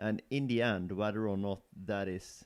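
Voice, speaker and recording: With a non-native accent, a man talks at a moderate pace and fairly low pitch with ordinary pitch variation. The recording is very clean, the background silent. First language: not English. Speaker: co-host discussing artwork. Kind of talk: casual conversation about artwork.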